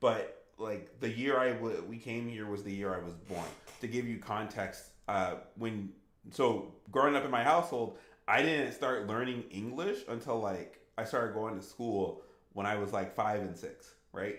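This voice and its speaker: A man's voice sits at a medium pitch, with audible room echo around it. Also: ordinary pitch variation, moderate pace. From US, Haitian refugee family. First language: Haitian Creole. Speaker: gaming streamer. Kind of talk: live stream Q&A, casual chat.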